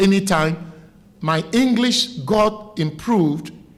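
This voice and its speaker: A man with a Ghanaian accent, high-pitched, very slow, and lively in intonation, over noticeable background noise. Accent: Ghanaian Ewe village accent, still noticeable. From Ghana, Volta Region (Keta area). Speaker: broadcaster. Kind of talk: interview. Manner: animated.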